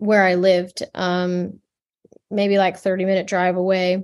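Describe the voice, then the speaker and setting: A woman's medium-pitched voice with an American accent, at a fairly slow pace, against a quiet background. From US Midwest, rural Michigan. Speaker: fashion designer and textile artist. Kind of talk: interview. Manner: halting, many fillers and repeated words.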